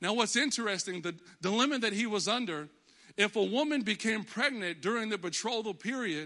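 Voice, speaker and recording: A man with an American accent talks in a raised, projected voice at a fairly quick pace, high in pitch with ordinary pitch variation and a bright, sharp, animated tone. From Texas. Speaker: pastor. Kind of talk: sermon. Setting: church.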